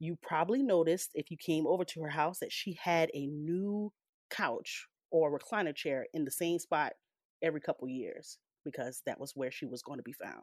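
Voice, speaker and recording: A woman with a Southern US accent speaks in an animated tone at a fairly low pitch. Her pace is moderate, her pitch variation is ordinary, and the sound is dry and close with no echo. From US South, rural. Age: 30s. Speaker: storyteller. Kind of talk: reading aloud.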